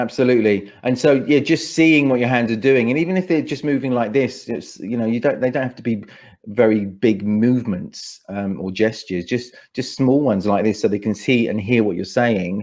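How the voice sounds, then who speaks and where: A man with a London accent speaks at a medium pitch with ordinary pitch variation. The background is quiet. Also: moderate pace, hardly any pauses. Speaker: speaker coach and events MC. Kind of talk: podcast interview answer.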